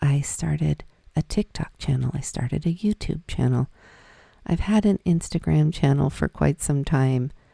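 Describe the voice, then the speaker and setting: A woman's voice is captured with a dry, close sound and no echo. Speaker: spiritual coach and podcaster. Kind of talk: personal storytelling monologue. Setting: solo video recording. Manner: natural, conversational.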